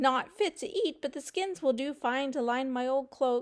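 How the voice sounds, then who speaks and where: At a moderate pace, a woman speaks in a put-on character voice pitched high. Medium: read story.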